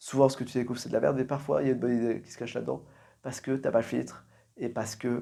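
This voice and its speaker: A quiet man with vocal fry, medium pitch, a dark, mellow tone, monotone, flat intonation, big swings in loudness, and a very fast pace. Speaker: podcaster. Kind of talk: solo monologue, endurance podcast challenge. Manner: quieter voice.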